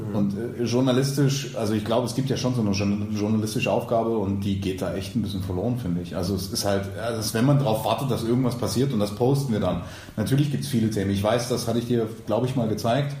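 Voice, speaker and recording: Amid noticeable background noise and audible room echo, a man speaks very fast at a medium pitch with ordinary pitch variation. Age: 30s. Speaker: podcast co-host and long-term student. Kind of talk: casual chat.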